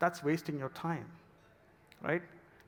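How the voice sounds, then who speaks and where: A man with a non-native accent and fairly high pitch. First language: not English. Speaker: product manager. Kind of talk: conference talk. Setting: stage with audience.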